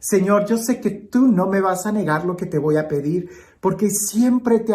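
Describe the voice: The clip is plain reading aloud.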